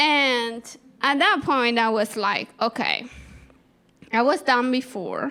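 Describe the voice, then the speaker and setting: A woman's high voice in a strong Peruvian accent, bright and sharp in tone, very slow with long, frequent pauses and ordinary pitch variation. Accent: Peruvian Spanish accent, thick. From Peru, Andes. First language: Spanish. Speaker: storyteller, comedian. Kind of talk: stand-up storytelling.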